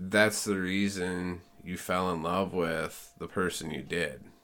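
A man speaks at a very slow pace, his pitch very deep and low. His tone is bright and sharp. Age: 40s. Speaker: host's husband. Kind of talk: casual chat. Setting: at home.

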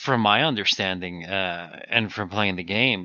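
A man speaks fairly slowly in a plain, everyday voice, with fairly low pitch and ordinary pitch variation. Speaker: gamer guest. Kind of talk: casual chat.

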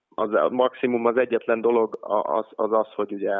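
At a fairly slow pace, a man speaks with monotone, flat intonation at medium pitch. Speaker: professional basketball player. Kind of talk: interview. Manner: halting, many fillers and repetitions.

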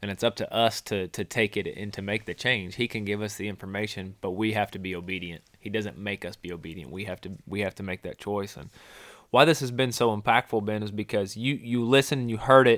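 A man's normal speaking voice, fairly low in pitch, with ordinary pitch variation, a fairly quick pace and big swings in loudness, on a very clean recording with a silent background and a dry, close sound with no echo. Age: 30s. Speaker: podcast host and wildlife biologist. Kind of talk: casual faith-based chat.

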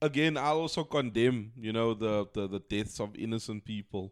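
Over a silent background in a very clean recording, a man speaks at a moderate pace. His tone is animated, with very wide pitch swings. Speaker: podcast co-host. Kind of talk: casual banter chat. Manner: animated, jokey, slangy.

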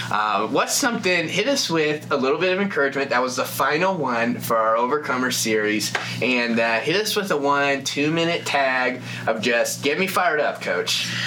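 A man with a fairly high voice speaks at a moderate pace with lively intonation and very even loudness, over noticeable background noise and audible room echo. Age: 20s. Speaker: podcast host. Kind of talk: casual chat.

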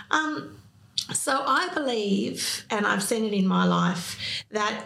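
Speaking at a very slow pace, a woman with an Australian accent is heard with audible room echo. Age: 50s. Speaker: psychotherapist and business owner. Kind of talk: interview.

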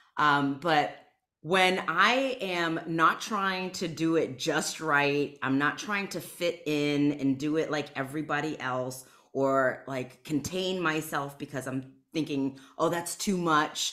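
Loud and at a very slow pace, a woman speaks with a very deep, low pitch. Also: ordinary pitch variation. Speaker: somatic healer and spiritual coach. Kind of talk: casual chat. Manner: loud laugh.

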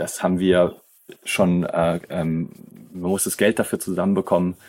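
A man's very deep, low voice, dark and mellow in tone, with monotone, flat intonation. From southern Germany, near Schaffhausen on the Swiss border. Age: 30s. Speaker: youth worker. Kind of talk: interview conversation. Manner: halting, many fillers.

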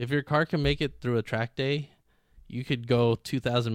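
A man with an ordinary speaking voice talks at a moderate pace and medium pitch, recorded very cleanly with a silent background and a dry, close sound with no echo. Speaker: drifter and car builder guest. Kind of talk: casual interview chat.

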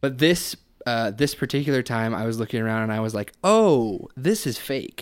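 On a very clean recording with a silent background, a plain, everyday voice keeps a moderate pace and ordinary pitch variation. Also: man, medium pitch for a man. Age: 20s. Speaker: podcast guest. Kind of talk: casual chat.

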